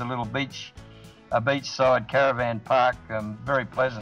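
Faint music plays in the background. A man speaks with fairly even intonation. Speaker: remote guest. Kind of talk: interview answer. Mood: relaxed, friendly.

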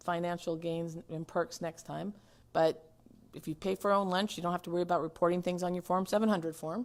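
The woman talks fairly quickly, her pitch fairly low. Her intonation stays fairly even. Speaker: city attorney giving ethics training. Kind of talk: training lecture. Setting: city council chambers. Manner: fast.

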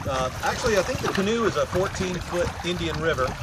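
A man's voice sounds dry with no echo amid loud background noise. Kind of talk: product demo talk. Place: boat.

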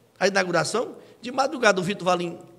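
A man speaks with a northeastern Brazilian accent at a high pitch. His intonation is lively and his tone animated. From Ceará, Brazil. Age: 40s. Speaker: local reporter and politician. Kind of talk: interview. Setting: studio. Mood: critical, politically charged. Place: studio. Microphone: studio mic.

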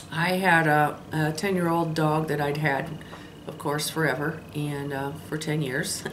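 A woman speaks very slowly in a monotone, flat intonation at a very deep, low pitch. Noticeable background noise sits behind her. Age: 60s. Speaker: lifestyle vlogger. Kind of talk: casual vlog monologue. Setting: solo camera recording. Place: home room. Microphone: phone near.

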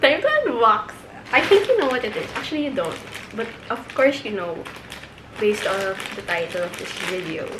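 Over noticeable background noise, a woman with a high pitch speaks at a moderate pace, her volume rising and falling sharply. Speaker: vlogger. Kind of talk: casual vlog chat. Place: home room. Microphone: phone near.

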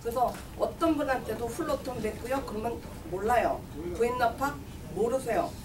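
Noticeable background noise behind a woman's high-pitched voice. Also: ordinary pitch variation, moderate pace. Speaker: community campaign manager for seniors group. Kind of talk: press conference statement. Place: meeting room. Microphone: podium.

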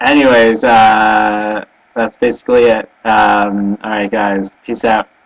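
A man with a Canadian accent speaks at a very slow pace and a fairly low pitch. His intonation is monotone and flat over a quiet background. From Canada. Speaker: vlogger. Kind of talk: webcam video blog. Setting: webcam recording. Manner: halting, many fillers. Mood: cheerful, smiling, relaxed. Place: home room. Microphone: webcam.

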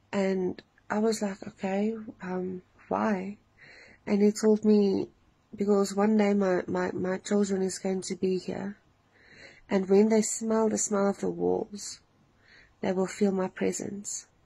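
Somewhat breathy and dark, mellow in tone, the voice moves at a very slow pace in a monotone, flat intonation with long, frequent pauses. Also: woman. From South Africa. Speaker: dream testimony sharer. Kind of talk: testimony. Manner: hesitant, many fillers. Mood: earnest, emotional. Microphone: phone near.

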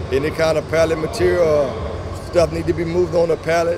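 Noticeable background noise sits behind a man speaking at a moderate pace. The sound is dry with no echo. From Louisiana. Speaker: trucking company owner. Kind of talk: interview answer. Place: hall.

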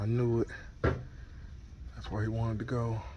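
A man's voice amid loud background noise. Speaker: toy collector vlogger. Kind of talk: casual vlog chat. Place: shop. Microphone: phone near.

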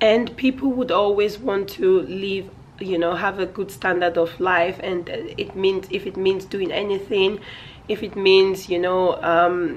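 A woman speaks at a medium pitch and a moderate pace. Noticeable background noise sits behind her. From Nigeria. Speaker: vlogger. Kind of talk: casual vlog chat. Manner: loud, straining.

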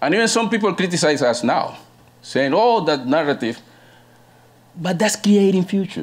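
With lively intonation and very even loudness, a man talks at a moderate pace in a high pitch, leaving long, frequent pauses. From Colombia. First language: Spanish. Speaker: panelist. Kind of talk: conference presentation. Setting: stage with audience.

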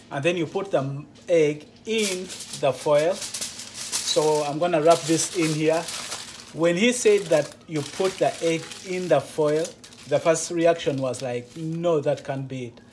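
A man talks at a very slow pace. Noticeable background noise is present. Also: ordinary pitch variation. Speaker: truck driver vlogger. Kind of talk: casual vlog tutorial. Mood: curious, slightly nervous. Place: kitchen. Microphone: phone near.

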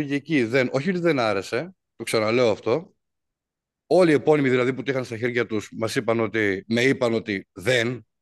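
Over a quiet background, a man keeps a moderate pace as he speaks. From northern Greece, Drama; northern Greece. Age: 40s. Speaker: musician and composer; interviewee. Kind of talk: interview. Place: studio. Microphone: video call.

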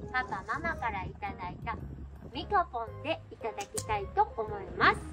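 Clear music plays in the background as a woman talks at a fairly slow pace. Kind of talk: casual vlog chat. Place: tent. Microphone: camera far.

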